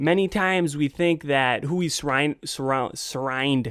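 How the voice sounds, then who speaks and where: In a very clean recording with a silent background, a man with an unremarkable speaking voice talks at a moderate pace and a fairly high pitch. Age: 20s. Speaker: podcast host. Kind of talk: motivational podcast talk.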